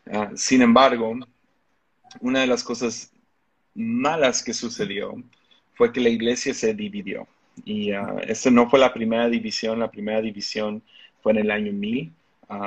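A man with a Mexican accent speaks at a fairly slow pace with long, frequent pauses, his medium pitch held in fairly even intonation. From Mexico. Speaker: pastor. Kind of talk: interview conversation.

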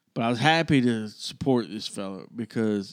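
A man with an Alabama accent at a medium pitch and moderate pace, in a very clean recording with a silent background. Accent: Southern US (Alabama). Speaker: podcast co-host. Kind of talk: storytelling in casual chat.

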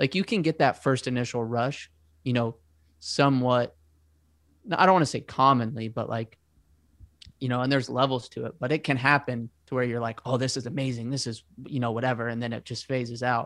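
With an American accent, a man speaks at a medium pitch and a fairly quick pace, with fairly even intonation and long, frequent pauses. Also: very clean recording, silent background. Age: 20s. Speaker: podcast host. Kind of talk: casual chat. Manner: introverted.

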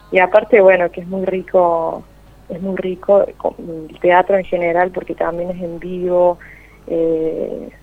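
Fairly low in pitch, a woman speaks at a fairly slow pace. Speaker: opera and gospel singer. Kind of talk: interview.

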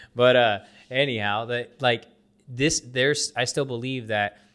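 With a plain, everyday voice and an American accent, a man talks at medium pitch with fairly even intonation on a very clean recording with a silent background. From US. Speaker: podcast host, loan officer. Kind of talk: casual chat.

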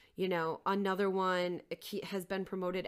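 This is a very clean recording with a silent background. A woman speaks at a medium pitch with an American accent. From Minnesota, Twin Cities area. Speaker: nonprofit CEO and artist. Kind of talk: casual interview conversation.

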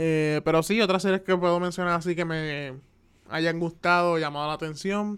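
At a moderate pace, a man speaks with a high pitch and fairly even intonation. The recording is very clean, with a silent background. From Puerto Rico (Carolina). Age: 20s. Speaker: podcaster, animation student. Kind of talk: casual solo monologue. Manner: hesitant, many fillers.

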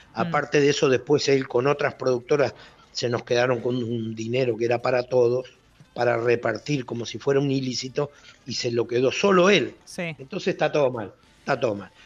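Over music in the background, a man talks at a fairly quick pace with medium pitch and ordinary pitch variation. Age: 60s. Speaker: former bank robber. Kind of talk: radio interview. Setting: phone call.

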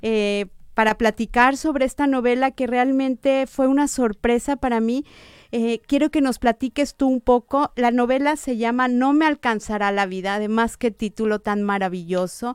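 The recording is very clean, with a silent background and a dry, close sound with no echo. A woman speaks at a moderate pace in a high pitch with ordinary variation. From Mexico, Guadalajara. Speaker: book reviewer on radio. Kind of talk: radio book interview. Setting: radio studio.

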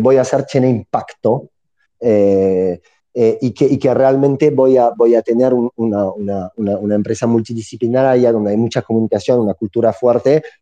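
A man speaks at a moderate pace in a medium pitch with ordinary pitch variation. His tone is dark and mellow, and the sound is dry and close with no echo. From southern France, near Montpellier. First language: French (speaking Spanish). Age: 30s. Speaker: entrepreneur. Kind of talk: interview.

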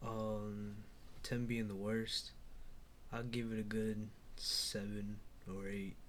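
A man talks at a very slow pace with monotone, flat intonation. Audible room echo surrounds his voice. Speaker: recent high school graduate. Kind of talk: casual chat.

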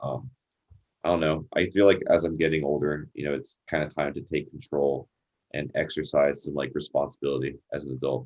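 The speaker talks at a fairly quick pace with ordinary pitch variation. Vocal fry runs through the voice. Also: man. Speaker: podcast host. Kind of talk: casual interview chat.

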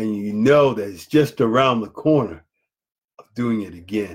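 This man has a normal speaking voice with an American accent, fairly low in pitch, with ordinary pitch variation and a moderate pace. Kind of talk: motivational lesson. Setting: Facebook live video.

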